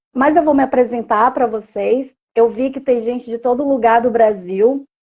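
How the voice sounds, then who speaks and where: This woman has a high pitch. Her intonation stays fairly even. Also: moderate pace. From Brazil, Pará interior, raised in Manaus. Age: 40s. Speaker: social worker. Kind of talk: live stream interview. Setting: live stream.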